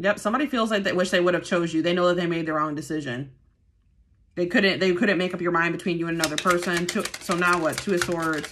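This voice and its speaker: Noticeable background noise fills the recording. Over it, the words race by at a very fast pace. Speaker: tarot reader. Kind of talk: casual tarot reading commentary. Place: home room. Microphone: phone near.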